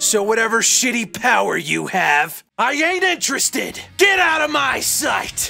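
Faint music plays behind a man shouting in a put-on character voice at an extremely high pitch, his bright, sharp tone edged with vocal fry and his intonation lively. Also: fairly slow pace.

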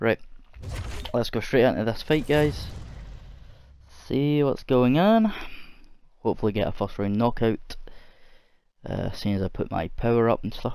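A man's medium-pitched, dark, mellow voice in a Scottish accent, with lively intonation, a moderate pace and long, frequent pauses. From Scotland. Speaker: gamer. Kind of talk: casual gameplay commentary.

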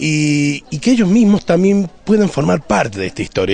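In a dry sound with no echo, a man speaks at a fairly quick pace. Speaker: school theatre teacher or director. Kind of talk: interview answer. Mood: proud, earnest. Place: street. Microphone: handheld.

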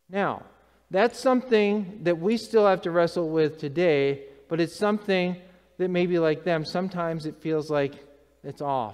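The pace is moderate. Intonation rises and falls in a lively way over a quiet background. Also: man. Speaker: preacher. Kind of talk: sermon. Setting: church. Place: church.

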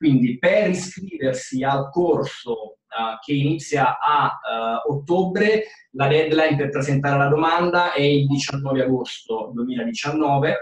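A man's fairly high voice at a very slow pace, with ordinary pitch variation and very even loudness. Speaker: university admissions advisor, moderator. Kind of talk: webinar moderator.

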